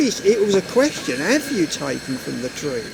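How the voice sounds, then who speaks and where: A man with a high pitch and very wide pitch swings talks over noticeable background noise. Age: 70s. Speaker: Jehovah's Witness street preacher. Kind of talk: street discussion. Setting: outdoors on a street. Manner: talkative, repetitive, with false starts.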